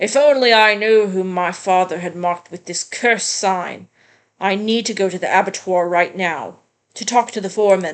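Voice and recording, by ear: Using a put-on character voice, a female-sounding speaker talks at a moderate pace and middle pitch against a quiet background.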